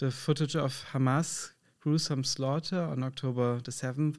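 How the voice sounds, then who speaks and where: On a very clean recording with a silent background, a man with a plain, everyday voice at medium pitch speaks at a fairly slow pace. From Germany. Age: 30s. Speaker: podcast host. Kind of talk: interview.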